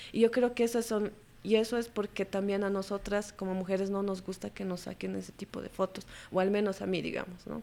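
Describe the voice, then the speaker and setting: A woman's dark, mellow voice at medium pitch, fairly quick and monotone with flat intonation. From Bolivia, La Paz. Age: 30s. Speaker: photojournalist. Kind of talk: interview.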